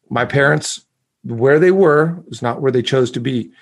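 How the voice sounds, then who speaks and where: A normal speaking voice from a man, medium pitch, moderate pace. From US, lived in Mexico as a child, then US. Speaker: speaker and communication coach, author. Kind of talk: interview conversation.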